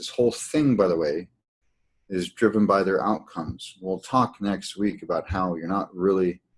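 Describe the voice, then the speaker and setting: Over a quiet background, a man talks at a fairly low pitch with ordinary pitch variation. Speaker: healing practice coach. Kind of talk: webinar teaching. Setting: online webinar. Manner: fast.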